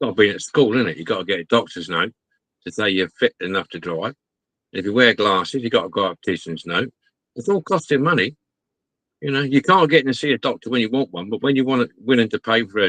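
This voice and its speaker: A man with an English accent, very fast, medium-pitched yet swinging very widely, bright and sharp in tone, with a dry, close sound and no echo. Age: 60s. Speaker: model restorer. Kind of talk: casual chat.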